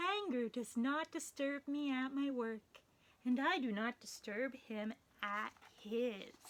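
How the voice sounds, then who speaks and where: A woman puts on a character voice with a calm, gentle tone. She speaks at a very slow pace. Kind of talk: bedtime story. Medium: read story.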